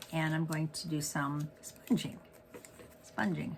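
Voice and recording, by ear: A woman's raspy put-on character voice, very deep and low, at a fairly slow pace amid clear background noise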